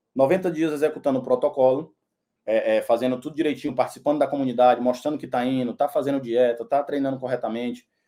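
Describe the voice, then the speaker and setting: Speaking at a very fast pace, a man with a northeastern Brazilian accent uses a medium pitch, fairly even intonation and a dark, mellow tone. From Northeast Brazil, Teresina, Piauí. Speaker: personal trainer. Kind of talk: sales pitch. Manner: casual, with fillers and repetitions.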